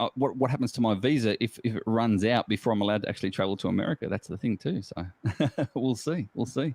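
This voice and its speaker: Talking very fast with an Australian accent, a man uses a medium pitch and ordinary pitch variation, recorded dry and close with no echo. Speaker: geocacher. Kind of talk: casual chat.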